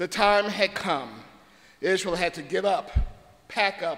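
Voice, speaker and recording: At a fairly slow pace, a man talks in a bright, sharp tone. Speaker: guest preacher. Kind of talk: sermon. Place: church. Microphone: podium.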